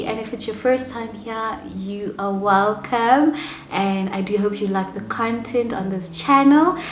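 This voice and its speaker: Speaking fairly slowly with ordinary pitch variation, a woman is heard over noticeable background noise. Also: fairly high pitch for a woman. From South Africa. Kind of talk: casual talk to camera.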